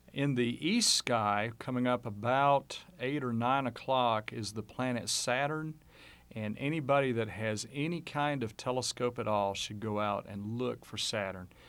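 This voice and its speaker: In a very clean recording with a silent background, a man speaks at a fairly slow pace. His unremarkable speaking voice sits at a medium pitch with ordinary pitch variation. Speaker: amateur astronomer. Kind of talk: radio interview. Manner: casual.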